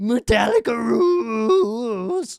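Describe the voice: The pitch is fairly high. It belongs to a put-on character voice.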